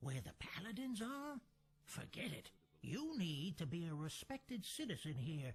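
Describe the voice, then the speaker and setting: A man puts on a character voice with a high pitch and very wide pitch swings. He goes at a moderate pace. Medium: video game.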